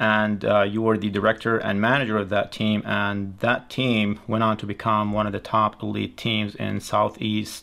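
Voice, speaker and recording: This man speaks at a moderate pace with a fairly low pitch. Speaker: channel host. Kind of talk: video intro and guest introduction. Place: studio.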